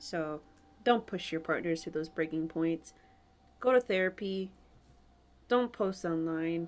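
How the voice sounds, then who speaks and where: A woman talks at a fairly slow pace with long, frequent pauses. Her fairly low pitch shows ordinary pitch variation. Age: 20s. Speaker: podcast host. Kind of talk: casual chat.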